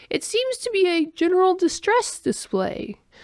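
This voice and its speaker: A woman does a put-on character voice at an extremely high pitch, speaking at a moderate pace. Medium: read story. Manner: formal, literal.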